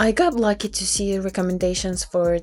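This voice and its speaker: A woman speaks with a Ukrainian accent. Music plays in the background. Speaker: book vlogger. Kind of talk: casual vlog narration.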